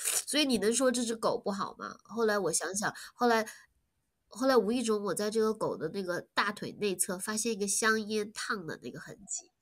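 This woman has an unremarkable speaking voice, pitched fairly high with ordinary variation. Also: moderate pace. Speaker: animal rescue volunteer and business owner. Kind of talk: casual interview. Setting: online call.

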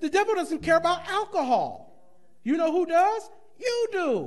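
A man talks in an animated tone at a moderate pace. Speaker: pastor. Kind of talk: Bible class teaching, with sermon-like preaching. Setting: church. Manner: informal, plain-spoken, teasing the congregation. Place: church. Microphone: podium.

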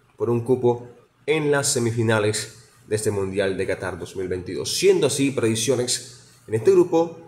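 A man of medium pitch speaks at a moderate pace with lively intonation. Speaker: radio announcer. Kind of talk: radio sports news report. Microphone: phone near.

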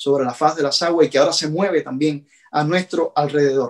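Against a quiet background, a man with a Cuban accent speaks at a moderate pace in a fairly high pitch. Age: 40s. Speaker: pastor. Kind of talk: sermon. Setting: at home. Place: home room. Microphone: phone near.

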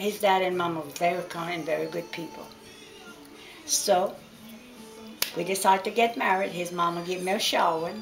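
A woman with a fairly low voice speaks with long, frequent pauses while clear music plays in the background. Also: moderate pace. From Louisiana Cajun. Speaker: grandmother storyteller. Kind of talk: family storytelling. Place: kitchen. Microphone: camera far.

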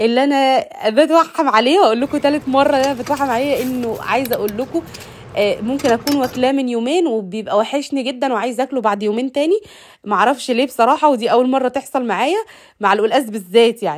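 A woman with an Egyptian accent speaks at a fairly quick pace and a high pitch, with ordinary pitch variation. Noticeable background noise is present. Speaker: lifestyle vlogger. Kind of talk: casual vlog narration. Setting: home kitchen.

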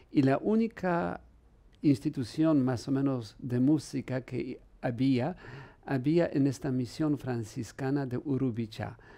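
This man has a Polish accent and a dark, mellow tone at a medium pitch. He speaks at a very slow pace with ordinary pitch variation. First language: Polish (speaking Spanish). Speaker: priest and musicologist; priest. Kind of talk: interview. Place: studio. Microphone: headset.

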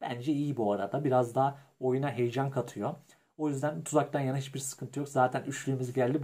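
The voice is dark, mellow and somewhat breathy, moving at a fairly quick pace. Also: man. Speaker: gaming youtuber. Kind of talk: gameplay commentary. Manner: animated.

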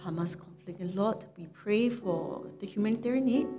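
A woman speaks with fairly even intonation over clear background music. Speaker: pastor leading prayer. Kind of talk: spoken prayer. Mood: earnest, reverent. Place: church.

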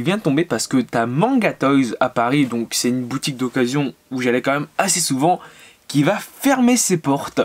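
A man talking at a fairly quick pace. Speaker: manga vlogger. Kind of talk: casual vlog chat. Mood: a bit sad, reflective. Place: home room.

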